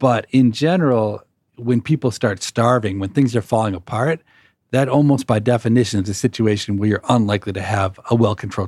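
A man's fairly low, somewhat breathy voice at a fairly quick pace, with ordinary pitch variation, in a very clean recording with a silent background. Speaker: podcast host and economics professor. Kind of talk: interview conversation.

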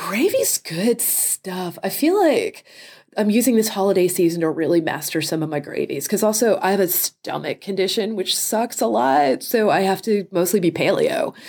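On a very clean recording with a silent background, a woman with a normal speaking voice talks at a medium pitch with lively intonation. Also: moderate pace. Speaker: food editor and author. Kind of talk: casual interview chat.

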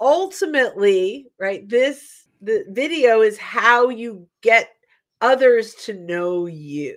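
A woman with an American accent speaks very slowly in a fairly high voice, her pitch swinging very widely and her loudness rising and falling sharply. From US Northeast, New York / North Jersey. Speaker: sales consultant and podcast co-host. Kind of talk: casual chat. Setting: live video stream, virtual studio.

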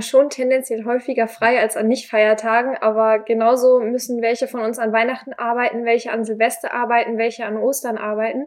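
The speaker talks at a fairly quick pace with hardly any pauses, in a monotone, flat intonation. Noticeable background noise runs underneath. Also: woman. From northern Germany, near Hamburg. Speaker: volunteer at a seamen's club. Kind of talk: interview. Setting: on location at a seamen's club.

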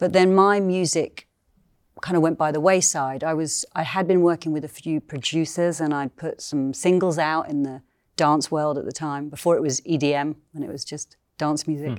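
With a British accent, a woman speaks at a very deep, low pitch and with fairly even intonation. The recording is very clean with a silent background. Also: moderate pace. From UK. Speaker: singer and sound healer. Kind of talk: interview. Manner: halting.

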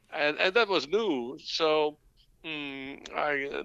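A man with a Dutch accent speaks in a bright, sharp tone. The background is quiet. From Netherlands (born in Dutch New Guinea). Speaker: cannabis entrepreneur. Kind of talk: interview. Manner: halting.

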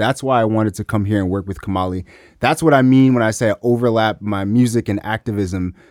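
A man with an American accent has an unremarkable speaking voice, fairly low in pitch with ordinary pitch variation. The recording is very clean, dry, and close, with no echo and a silent background. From US South, Memphis, Tennessee. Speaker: hip-hop artist. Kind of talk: casual chat.

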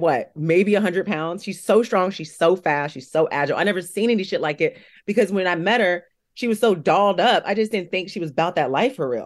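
Against a quiet background, a woman with a medium pitch and an animated tone talks at a fairly quick pace with ordinary pitch variation. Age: 30s. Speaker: reality TV competitor. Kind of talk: casual chat.

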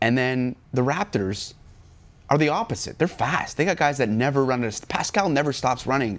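A man talks in a medium-pitched voice marked by vocal fry. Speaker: sports talk show co-host. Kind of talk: casual sports talk show. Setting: studio.

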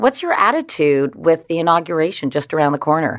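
With lively intonation, a woman speaks in an unremarkable speaking voice, fairly low in pitch, over a quiet background. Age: 60s. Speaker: interviewer. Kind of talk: interview.

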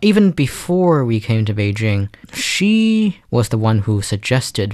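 A man's fairly low voice in a Chinese accent, at a fairly slow pace with ordinary pitch variation. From China. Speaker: pianist. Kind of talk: interview. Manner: fluent.

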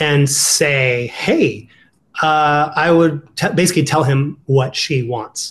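Somewhat breathy, a man with an American accent speaks at a fairly high pitch with ordinary pitch variation. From Ohio. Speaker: dating coach. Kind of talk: casual interview.

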